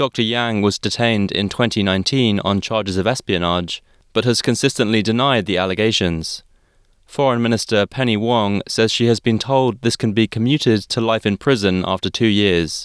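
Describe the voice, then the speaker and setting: Over a very clean, silent background, a man talks at a moderate pace and a fairly low pitch, with fairly even intonation, very even loudness and a dry, close sound with no echo. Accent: Australian. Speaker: news presenter. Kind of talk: radio news bulletin reading. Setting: studio. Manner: crisp, measured newsreader delivery, even and neutral in tone; formal, scripted, steady pacing through headlines.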